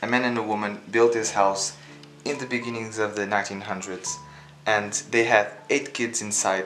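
Faint music sits in the background. A man talks at a moderate pace in a fairly low pitch with flat, monotone intonation. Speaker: explorer vlogger. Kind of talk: casual vlog chat. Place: home room. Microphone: phone near.

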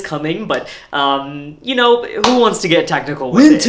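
Over noticeable background noise, a man keeps a moderate pace. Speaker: actor playing a hotel host. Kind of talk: comedy sketch dialogue.

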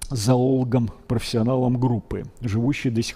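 Somewhat breathy and dark, mellow in tone, a man's voice moves at a fairly slow pace. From Russia, Kuibyshev (Samara); Russia. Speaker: paleontologist, biology professor; biology professor. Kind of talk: public lecture. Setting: museum lecture hall with audience. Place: hall.

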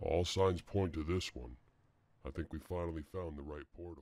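In a put-on character voice, a man speaks very deep and low at a moderate pace, in a very clean recording with a silent background. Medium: machinima.

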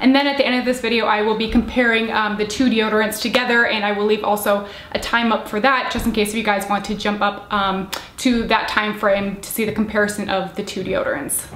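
A woman's fairly quick speech in a monotone, flat intonation, with audible room echo. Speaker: beauty product reviewer. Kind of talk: casual vlog chat. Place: home room.

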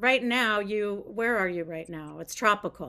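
Lively intonation marks a woman's speech. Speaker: guest radio host. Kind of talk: radio interview host. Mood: friendly, curious. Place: home room.

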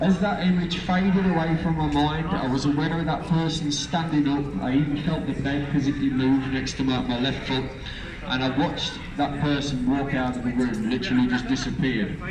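A man with an East Midlands accent, fairly high pitch, ordinary pitch variation and a fairly quick pace, amid noticeable background noise. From Lincolnshire, eastern England. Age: 30s. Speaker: street preacher. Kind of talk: testimony. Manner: halting. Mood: earnest, fervent. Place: street. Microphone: handheld.

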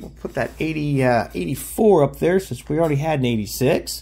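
A man speaks with an American accent at a moderate pace. He hardly pauses at all. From US South, Nashville, Tennessee. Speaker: YouTuber, autograph collector. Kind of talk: casual hobby video, showing mail returns. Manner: animated. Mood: pleased, upbeat. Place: home room.

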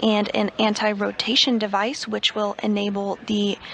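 A woman speaks at a moderate pace and a medium pitch. Noticeable background noise runs under her voice. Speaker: NASA TV commentator. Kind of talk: live broadcast commentary. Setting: mission control. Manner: clear, measured, formal.

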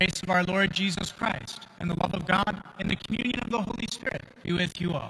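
A man's raised, projected voice at a moderate pace. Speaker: priest leading Mass. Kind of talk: liturgical address. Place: church.

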